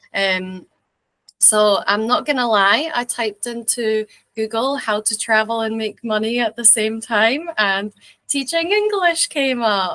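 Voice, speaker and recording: A woman's fairly high, bright, sharp voice with a slight Scottish accent, ordinary pitch variation and a fairly slow pace, in a dry, close sound with no echo. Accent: mild Scottish. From Scotland, rural village near English border. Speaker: English teacher and video creator. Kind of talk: casual interview chat. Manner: hesitant, many fillers.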